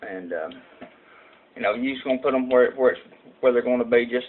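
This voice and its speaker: A man talks with a strong Southern US accent. Noticeable background noise runs under his voice. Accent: strong rural Southern US country. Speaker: vaping tutorial youtuber. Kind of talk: tutorial. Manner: casual, halting with many fillers.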